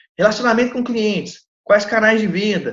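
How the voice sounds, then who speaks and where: Pitched high, a man speaks at a fairly quick pace. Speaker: lecturer on legal entrepreneurship. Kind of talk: lecture. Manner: animated; fast.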